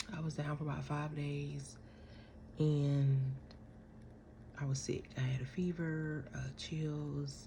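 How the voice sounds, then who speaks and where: Quiet whispering moves at a very slow pace, broken by long, frequent pauses. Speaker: vlogger. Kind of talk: casual chat. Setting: at home. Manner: quiet, near whisper.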